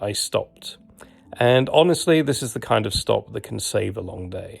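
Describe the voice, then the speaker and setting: In a British accent, the speaker keeps a moderate pace with big swings in loudness. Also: man. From Britain. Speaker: travel and hiking vlogger. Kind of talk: humorous travel documentary narration.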